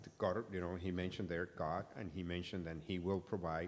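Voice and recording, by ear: A man's low-pitched voice at a fairly quick pace, intonation fairly even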